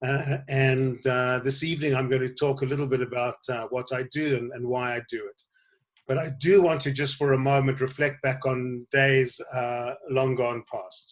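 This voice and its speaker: At a moderate pace, a man speaks in a monotone, flat intonation at a medium pitch. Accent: South African. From South Africa, Western Cape (Somerset West). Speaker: tour guide and educator. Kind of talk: online talk to a group. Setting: online session, on a veranda.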